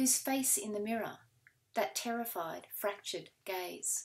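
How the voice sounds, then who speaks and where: Speaking at a very slow pace, a woman uses lively intonation. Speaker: poet. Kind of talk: poet reading her own confessional poem sequence aloud. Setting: recorded reading video. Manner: measured, deliberate pacing with weighted pauses between fragments. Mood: calm, measured, solemn. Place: home room. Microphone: webcam.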